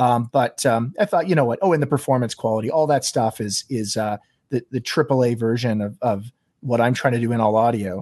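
A man speaks fairly quickly at medium pitch with ordinary pitch variation. The sound is dry and close with no echo, and the background is quiet. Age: 40s. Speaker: game developer. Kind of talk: interview. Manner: halting.

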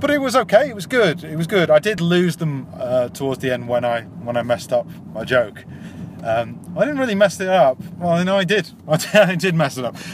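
With a Yorkshire accent, a man talks at a fairly quick pace in a high pitch, his voice swinging very widely, over noticeable background noise. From Yorkshire, England. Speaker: amateur stand-up comedian. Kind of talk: casual video diary.

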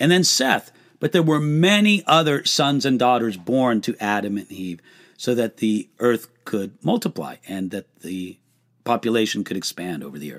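This man talks at a moderate pace in a medium pitch, with very wide pitch swings and big swings in loudness. The recording is very clean with a silent background, and the sound is dry and close with no echo. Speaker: pastor and Bible teacher. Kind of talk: live Q&A answering viewer questions. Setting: livestream. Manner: conversational with many fillers.

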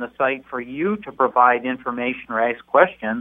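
Using a normal speaking voice, a man with an American accent talks at a medium pitch. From Dearborn, Michigan. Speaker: AARP spokesperson. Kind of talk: radio interview.

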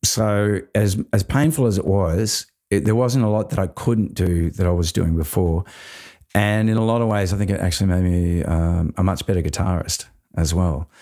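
With an Australian accent, a man talks at a moderate pace in a very deep, low pitch, his tone dark and mellow, his loudness very even and his pitch variation ordinary. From Australia, Queensland. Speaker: actor and musician. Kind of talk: casual interview chat. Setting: video call. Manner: animated, self-deprecating, casual.

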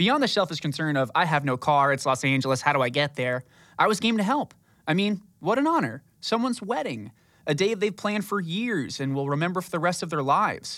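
High-pitched man with an American accent, a bright, sharp tone, very wide pitch swings and a fairly quick pace, on a very clean recording with a silent background. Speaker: podcast host and brand spokesperson. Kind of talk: scripted narration. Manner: fast.

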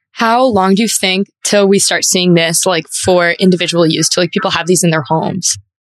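Speaking at medium pitch, a woman has an ordinary speaking voice with fairly even intonation. Her loudness is very even, her pace moderate, with hardly any pauses. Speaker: interviewer. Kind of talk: interview.

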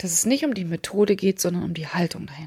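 Here a woman speaks with an animated tone and lively intonation. Her moderately paced voice is somewhat breathy. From eastern Germany. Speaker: communication coach and trainer. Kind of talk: solo podcast monologue.

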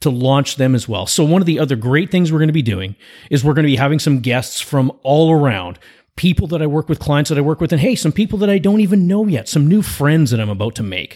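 A fairly high-pitched man speaks in an animated tone with lively intonation, in a very clean recording with a silent background. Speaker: podcast host and coach. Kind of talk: podcast intro monologue.

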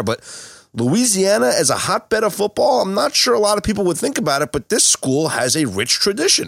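With lively intonation and a fairly quick pace, a man talks in an ordinary speaking voice. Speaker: podcast host. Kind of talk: podcast hosting, sports talk.

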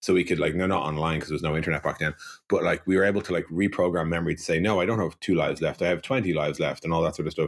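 A man with a Dublin accent talks at a very fast pace, his very deep, low pitch kept in fairly even intonation. The recording is very clean, with a silent background. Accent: Irish (Dublin). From Ireland, Dublin. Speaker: software company co-founder. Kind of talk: interview.

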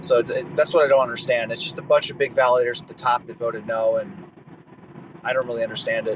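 A man's medium-pitched voice at a very fast pace, with big swings in loudness and noticeable background noise. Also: ordinary pitch variation. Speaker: NFT game project founder. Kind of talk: casual chat. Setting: online audio room.

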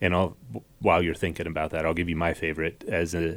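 The speaker is a man. His voice has a very deep, low pitch. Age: 30s. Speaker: podcast host. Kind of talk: casual interview chat.

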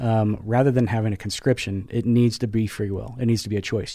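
This man speaks very fast at a medium pitch. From US Pacific Northwest. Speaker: military veteran and corporate giving manager. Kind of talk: casual chat.

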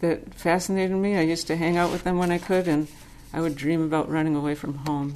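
A normal speaking voice from a woman, fairly low in pitch, at a moderate pace with ordinary pitch variation. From US Northeast, Boston suburb. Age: 60s. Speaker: Zen teacher. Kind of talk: Dharma talk, personal storytelling. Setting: Zen center.

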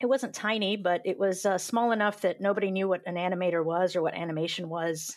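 A woman speaks very fast in an American accent, with hardly any pauses. Her pitch is medium with ordinary variation, over a quiet background. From US South, Georgia. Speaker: animator and comic book artist. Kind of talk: interview.

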